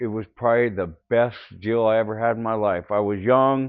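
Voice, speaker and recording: Here is a man with an American accent. His pitch is medium and his pace moderate. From Northern California, Oakland and San Jose area. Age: 60s. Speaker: army veteran. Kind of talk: personal testimony interview. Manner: halting, with fillers and self-corrections.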